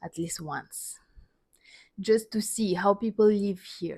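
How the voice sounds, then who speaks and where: A woman with a Russian accent at a fairly slow pace, on a very clean recording with a silent background. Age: 30s. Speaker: dancer and vlogger. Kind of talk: personal storytelling monologue. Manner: halting, non-native phrasing.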